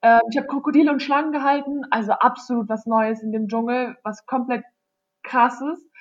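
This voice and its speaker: A woman with a high-pitched voice talks fairly quickly. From Germany. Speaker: psychology student, exchange student. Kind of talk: interview.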